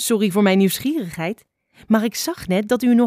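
Someone reads aloud in a natural voice with ordinary pitch variation over a quiet background.

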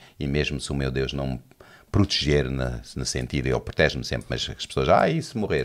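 A man talks at a fairly quick pace with a very deep, low pitch. His voice shows vocal fry and ordinary pitch variation. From South Africa, Johannesburg (Portuguese family). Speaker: pastor. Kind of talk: casual chat.

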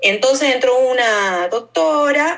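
This woman speaks with an Argentine accent. Her pitch varies in an ordinary way. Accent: Rioplatense Argentine Spanish. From Argentina. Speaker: activist and educator. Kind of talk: interview conversation.

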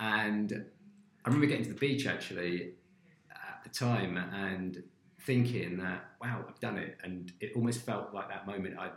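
Using a normal speaking voice, a man talks at a moderate pace with ordinary pitch variation and big swings in loudness. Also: fairly low pitch for a man. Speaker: food company founder. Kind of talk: casual interview chat.

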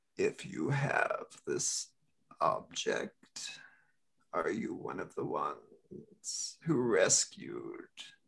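A man's extremely high-pitched, menacing voice, very slow, with long, frequent pauses. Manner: cryptic, menacing, persuasive.

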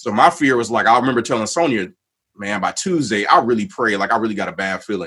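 This man has an American accent and a medium pitch, with lively intonation. He has an unremarkable speaking voice. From Waukegan, Illinois. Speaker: community discussion host. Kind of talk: livestream panel discussion.

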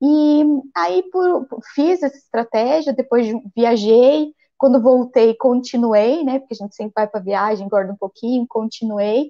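A woman's high-pitched voice, dark and mellow in tone, with lively intonation, a fairly slow pace and a dry, close sound with no echo. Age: 40s. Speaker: physician. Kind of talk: interview.

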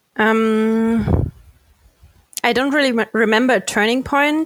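A woman speaks in a German accent at a fairly high pitch. Her pace is fairly slow, and the sound is dry and close with no echo. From Germany, near Frankfurt. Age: 20s. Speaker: sustainability consultant and company co-founder. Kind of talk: interview. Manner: halting, many fillers and repetitions.

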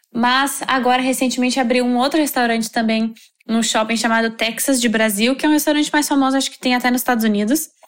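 A woman speaks very fast in a high voice, with fairly even intonation. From southern Brazil, Novo Hamburgo (Rio Grande do Sul). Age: 20s. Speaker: student and World Cup volunteer. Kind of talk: interview.

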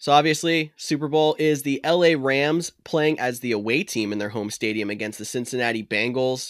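A man with a normal speaking voice talks at a moderate pace and medium pitch, with ordinary pitch variation and hardly any pauses, in a very clean recording with a silent background. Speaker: fantasy football podcast host. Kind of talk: casual chat. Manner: jokey, laughs often.

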